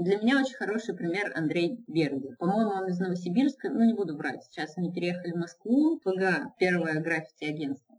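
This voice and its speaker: A woman's fairly quick delivery with lively intonation. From Izhevsk, Russia. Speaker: illustrator and mural painter. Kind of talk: casual interview. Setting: Skype call, lower audio quality.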